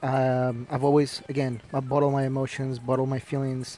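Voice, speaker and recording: A man's flat, monotone delivery against noticeable background noise. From Ecuador. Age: 20s. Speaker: podcast host. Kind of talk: solo podcast monologue, personal and casual. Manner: reflective, conversational, with frequent fillers.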